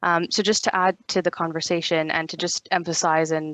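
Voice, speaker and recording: With a quiet background and a dry, close sound with no echo, a woman speaks fairly quickly at a fairly low pitch in a monotone, flat intonation. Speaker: pharmaceutical industry representative. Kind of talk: panel discussion. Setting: video call from open plan office. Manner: soft-spoken.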